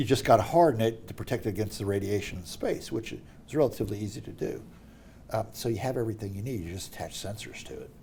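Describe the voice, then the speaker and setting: Somewhat breathy and dark, mellow in tone, a man speaks very fast at a medium pitch with ordinary pitch variation and big swings in loudness. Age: 60s. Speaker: middle school teacher, former NASA worker. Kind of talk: casual chat. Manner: animated.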